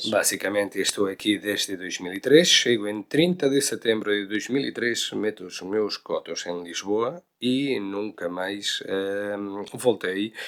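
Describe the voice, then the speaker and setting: The man's pitch is fairly low. He speaks at a fairly slow pace. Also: ordinary pitch variation. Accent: Galician. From Galicia, Spain. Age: 40s. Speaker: veterinary cardiologist. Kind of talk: interview answer. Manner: frank, direct.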